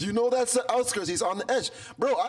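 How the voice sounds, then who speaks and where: Music plays in the background as a man talks at a fairly quick pace. His pitch is extremely high and swings very wide. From Toronto, Canada. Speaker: rap artist. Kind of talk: casual chat. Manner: animated.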